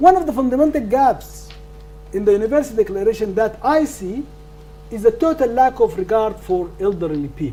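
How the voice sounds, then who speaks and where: A man with a non-native accent, high-pitched, at a fairly quick pace with lively intonation, over noticeable background noise. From northern Sudan. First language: not English. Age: 70s. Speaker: law professor. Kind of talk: lecture Q&A answer. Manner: halting, repetitive stammers.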